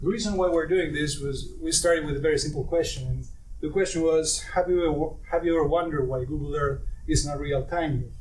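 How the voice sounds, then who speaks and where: A man with an Argentine accent at a fairly quick pace and fairly even intonation, amid noticeable background noise and audible room echo. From Argentina. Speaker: startup co-founder, satellite engineer. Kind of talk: startup pitch.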